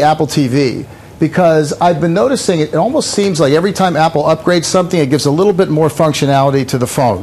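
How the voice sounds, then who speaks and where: With noticeable background noise, a man speaks at a very fast pace with hardly any pauses, high pitch, lively intonation and very even loudness. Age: 60s. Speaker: website founder and gadget reviewer. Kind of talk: TV news interview. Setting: remote TV interview from LA. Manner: halting, many fillers and repeats.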